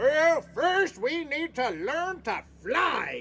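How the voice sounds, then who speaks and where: An extremely high-pitched, put-on character voice at a very slow pace, with clear background noise. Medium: read story. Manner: bossy.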